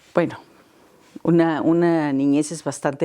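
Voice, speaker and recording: A woman speaks in a very deep, low voice with a dark, mellow tone and flat, monotone intonation. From Mexico. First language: Catalan (speaking Spanish). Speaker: academic interviewee. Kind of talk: interview. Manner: halting, repeats words.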